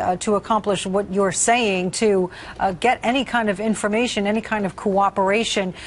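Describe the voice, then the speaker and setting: A woman speaks in an ordinary speaking voice at medium pitch, with fairly even intonation and a moderate pace. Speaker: TV news anchor. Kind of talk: TV news interview questions.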